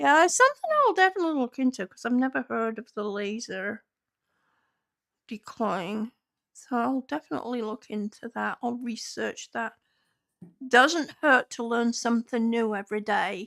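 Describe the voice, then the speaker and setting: A woman with an unremarkable speaking voice talks at a moderate pace and fairly high pitch, with lively intonation and big swings in loudness. The recording is very clean with a silent background, and the sound is dry and close with no echo. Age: 60s. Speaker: livestreamer fostering kittens. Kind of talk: casual livestream chat, talking to kittens and chat. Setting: home livestream with headset.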